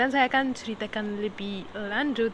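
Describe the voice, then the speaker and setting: Amid noticeable background noise, a woman with an Arabic accent speaks at a fairly high pitch and a moderate pace, with fairly even intonation. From Egypt. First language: Arabic (speaking Indonesian). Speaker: podcaster. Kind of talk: casual monologue podcast. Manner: hesitant, many fillers.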